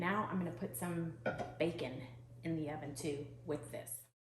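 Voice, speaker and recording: A woman with a very deep, low pitch speaks amid noticeable background noise and audible room echo. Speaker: home cook vlogger. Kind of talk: casual cooking vlog.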